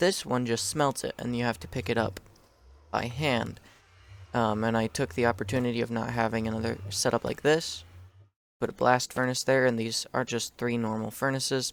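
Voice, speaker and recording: A man's voice sits at a medium pitch and moves with ordinary pitch variation. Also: moderate pace. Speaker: gaming youtuber. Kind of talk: gameplay commentary. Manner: hesitant, many fillers.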